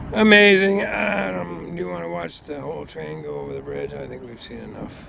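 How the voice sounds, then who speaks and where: A man with an American accent and very wide pitch swings, amid noticeable background noise. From Boston area, Massachusetts. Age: 60s. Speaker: railfan. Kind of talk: casual narration while filming trains. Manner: hesitant, many fillers.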